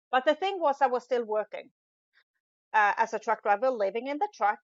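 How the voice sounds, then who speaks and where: A woman with a Swedish accent speaks at a high pitch. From Sweden. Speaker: business coach, former truck driver. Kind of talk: podcast interview.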